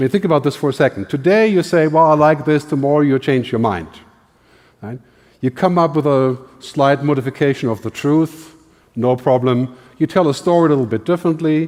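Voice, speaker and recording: A man talks at a fairly quick pace with a German accent. His pitch is fairly high, with ordinary variation. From Germany. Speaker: futurist, keynote speaker. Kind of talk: keynote talk.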